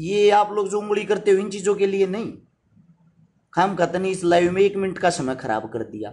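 A man's high-pitched voice with a Haryanvi accent, at a moderate pace with ordinary pitch variation. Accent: Haryanvi-accented Hindi. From Haryana, India. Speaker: social worker and YouTuber; YouTuber. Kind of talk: live stream address to followers. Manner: forceful, blunt delivery. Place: home room. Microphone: phone near.

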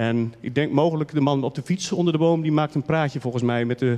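Using fairly even intonation, a man speaks at a fairly quick pace. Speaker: archivist; presenter. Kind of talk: short lecture. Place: hall. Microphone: handheld.

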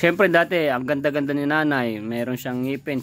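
Talking very fast, the man has a voice pitched fairly high for a male speaker. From Philippines. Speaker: vlogger interviewing a guest. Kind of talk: casual chat. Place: garden. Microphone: phone near.

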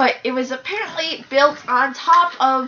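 Raising and projecting her voice, a woman speaks with ordinary pitch variation. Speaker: storyteller in a home comedy video. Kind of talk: casual storytelling. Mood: playful, laughing. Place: home room. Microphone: camera far.

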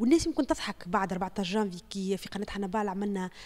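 A woman speaks with a Tunisian accent. Her pitch sits in the middle range. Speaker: TV journalist; journalist. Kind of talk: testimony. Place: home room. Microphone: handheld.

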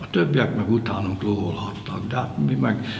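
Light background noise and audible room echo accompany speech at a moderate pace. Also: man. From Hungary. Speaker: kayak coach and former champion paddler. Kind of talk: interview reminiscence. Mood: reminiscing, warm anecdotes. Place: studio.

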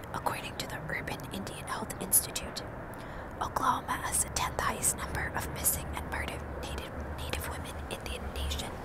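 A woman whispers at a fairly quick pace in a breathy voice. The sound is dry with no echo, with loud background noise behind her. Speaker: true crime narrator. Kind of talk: casual vlog chat reading case details. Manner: breathy whisper through cupped hand. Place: street. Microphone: earbuds.

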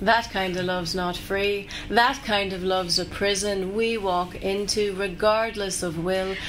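Over noticeable background noise, a woman speaks at a medium pitch, fairly slowly and with hardly any pauses, her intonation flat and monotone. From Northern Ireland. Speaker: performance poet. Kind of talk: poetry performance.

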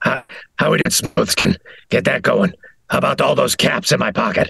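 Using a raspy, put-on character voice, a man speaks at a moderate pace. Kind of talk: quoted game lines.

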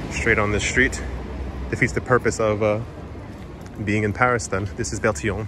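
A man with a fairly low pitch and fairly even intonation, over clear background noise. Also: moderate pace.

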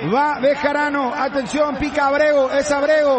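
A man speaks over noticeable background noise. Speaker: football commentator. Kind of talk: live football commentary, shouting goals, then anguished and emotional after the 4-0. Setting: broadcast booth, live match.

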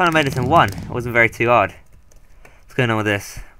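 A man is speaking. His tone is bright, sharp, clear and smooth.

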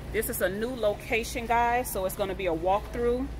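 Noticeable background noise is present. Over it, a woman keeps a moderate speed. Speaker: shopping vlogger. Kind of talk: casual vlog chat. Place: shop. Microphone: phone near.

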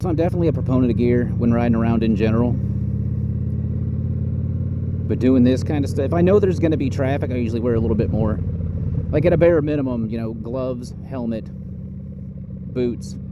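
A man talking at a very fast pace with ordinary pitch variation, a dry sound with no echo, and loud background noise. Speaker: motorcycle commuter vlogger. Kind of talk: casual vlog chat. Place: motorbike.

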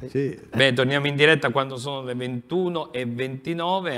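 Here a man is speaking. His pace is very slow. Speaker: TV sports talk show host. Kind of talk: sports talk show discussion. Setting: TV studio. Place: studio. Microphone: lapel.

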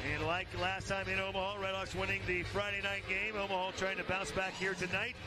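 Over noticeable background noise, a man talks in a raised, projected voice at a fairly quick pace. His pitch is high, his loudness very even, and his intonation monotone and flat. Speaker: play-by-play announcer. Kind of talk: live commentary.

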